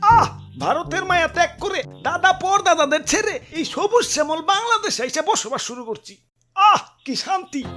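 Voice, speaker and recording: A cartoonish character voice with a pompous tone speaks at a moderate pace over faint background music. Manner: pompous, boastful.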